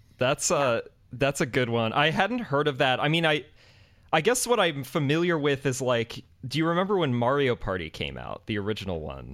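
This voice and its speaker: At a moderate pace, a man speaks with lively intonation, a fairly high pitch, and vocal fry. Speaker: podcast host. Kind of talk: casual chat. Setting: video call.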